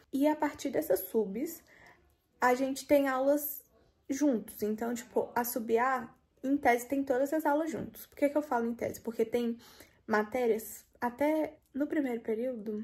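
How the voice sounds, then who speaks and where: The pace is fairly slow, with ordinary pitch variation. Loudness swings in a big way. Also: woman, high pitch for a woman. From Brazil. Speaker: medical student vlogger. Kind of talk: casual vlog narration. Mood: relaxed, chatty. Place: home room. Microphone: phone near.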